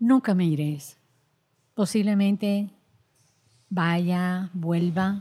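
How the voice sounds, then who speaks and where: In a very clean recording with a silent background, a woman speaks at a medium pitch and a very slow pace. Her dark, mellow tone is somewhat breathy, with long, frequent pauses. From Dominican Republic, rural La Vega. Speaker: women's rights activist, nonprofit director. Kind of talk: interview. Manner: halting, repeats words.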